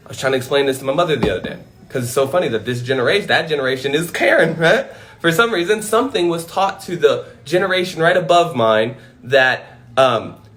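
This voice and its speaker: A man speaks at a very fast pace with a high pitch and lively intonation. Noticeable background noise runs underneath. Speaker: motivational speaker. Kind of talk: livestream monologue. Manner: loud; animated.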